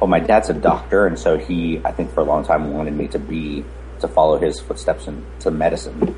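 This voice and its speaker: Against noticeable background noise, a man with a very deep, low pitch speaks at a fairly quick pace with ordinary pitch variation. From US (born in Romania, moved at four). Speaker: casting director. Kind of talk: interview.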